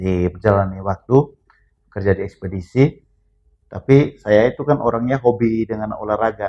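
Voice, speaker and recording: A man speaks in a fairly low pitch at a fairly slow pace. It is an ordinary speaking voice. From Flores, East Nusa Tenggara (Bajawa, Ngada). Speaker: former boxer. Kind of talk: casual interview.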